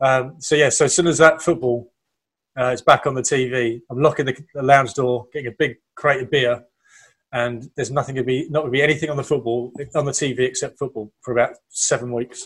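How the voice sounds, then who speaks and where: At a fairly quick pace, a man with an English accent speaks at a medium pitch, somewhat breathy and with fairly even intonation. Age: 30s. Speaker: podcast co-host. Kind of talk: casual chat.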